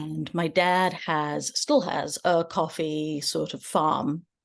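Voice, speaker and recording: Vocal fry with fairly even intonation against a quiet background. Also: woman. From southern India. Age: 30s. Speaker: author. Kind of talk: casual interview.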